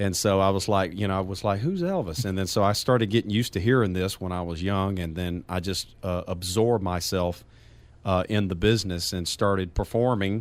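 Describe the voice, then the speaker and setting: A man speaks with a Southern accent. His voice is fairly low, with fairly even intonation. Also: fairly quick pace. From Louisiana, near New Orleans. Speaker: singer and stage performer. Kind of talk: radio interview.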